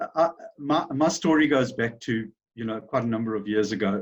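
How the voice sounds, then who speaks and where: Medium pitch for a man, with a South African accent and a fairly quick pace. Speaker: business owner. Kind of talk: interview. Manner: halting, many fillers.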